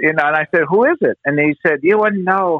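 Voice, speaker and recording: A man in an American accent speaks at a high pitch. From Southern California, Pasadena. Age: 50s. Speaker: baseball team historian. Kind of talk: interview storytelling.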